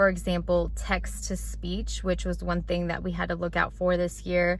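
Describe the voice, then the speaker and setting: A woman speaks in a very deep, low pitch with vocal fry and monotone, flat intonation, and room echo is audible. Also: moderate pace. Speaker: teacher. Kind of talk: vlog tutorial. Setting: school classroom.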